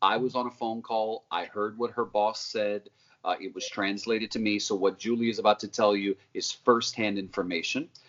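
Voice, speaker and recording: The pace is moderate. Intonation stays monotone and flat. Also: man, fairly low pitch for a man. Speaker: journalist. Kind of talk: live interview. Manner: somber.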